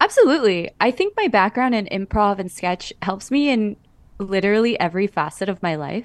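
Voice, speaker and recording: Speaking at a fairly quick pace with a Californian accent, a woman at medium pitch shows ordinary pitch variation in a dry, close sound with no echo. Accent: Californian American. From Los Angeles Koreatown. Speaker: actor and podcast host. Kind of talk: radio interview.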